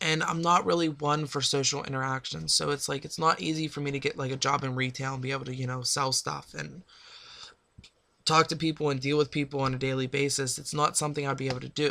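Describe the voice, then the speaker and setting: Recorded very cleanly over a silent background, a man with an American accent talks very fast at a fairly high pitch, his tone bright and sharp and his intonation fairly even. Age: 20s. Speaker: vlogger sharing personal life update. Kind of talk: personal vlog monologue.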